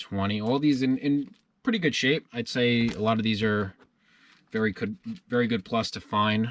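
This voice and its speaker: A man with an American accent has a normal speaking voice, speaking at a medium pitch and a moderate pace with ordinary pitch variation. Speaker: collectibles dealer and YouTuber. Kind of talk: casual haul video narration.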